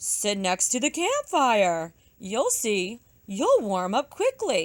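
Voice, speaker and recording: A woman uses a put-on character voice, fairly high in pitch and confident in tone. She speaks at a very slow pace. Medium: read story. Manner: confident, helpful.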